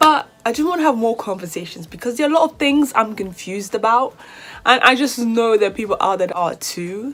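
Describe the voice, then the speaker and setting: With a British accent, a woman speaks at a moderate pace and high pitch, using very wide pitch swings. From Nigeria. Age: 20s. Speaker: YouTuber, university student. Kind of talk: casual vlog Q&A.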